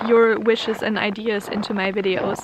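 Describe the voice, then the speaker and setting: The speaker has a German accent and fairly even intonation. Noticeable background noise runs under the voice. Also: woman. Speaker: vlogger. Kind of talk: casual vlog talk to camera. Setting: outdoors in the snow.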